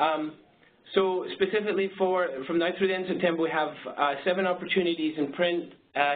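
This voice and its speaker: The speaker keeps a fairly quick pace and fairly even intonation. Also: man. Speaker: marketing agency presenter. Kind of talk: webinar presentation. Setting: webinar. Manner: fast; halting.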